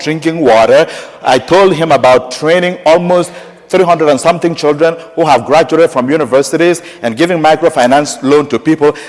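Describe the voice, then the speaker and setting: Noticeable background noise sits behind a man with a strong African accent. He talks at a fairly quick pace in a fairly high pitch with ordinary pitch variation. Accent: strong African accent, kept. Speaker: parish priest. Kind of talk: sermon. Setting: church, Mass. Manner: animated storytelling.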